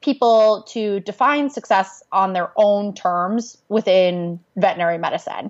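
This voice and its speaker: A woman's plain, everyday voice, fairly high in pitch and fairly slow in pace. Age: young. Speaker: social media and branding consultant. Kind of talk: interview.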